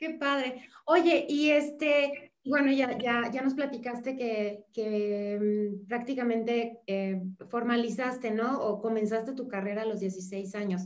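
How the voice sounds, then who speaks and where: A woman with a Mexican accent speaks at a very slow pace in a high-pitched voice. Her pitch varies in an ordinary way, and the room echo is audible. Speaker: podcast host. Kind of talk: interview.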